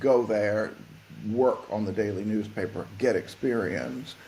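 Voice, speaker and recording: There is audible room echo on this recording of a man with an American accent. He speaks at a medium pitch and a fairly slow pace. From US South. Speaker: fashion tech consultant. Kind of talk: podcast interview. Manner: halting, repeats words.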